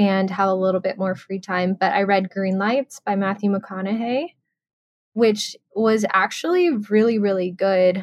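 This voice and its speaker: In a plain, everyday voice, a woman with an American accent speaks at medium pitch, with fairly even intonation and a fairly slow pace. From Texas. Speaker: podcast co-host. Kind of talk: casual chat.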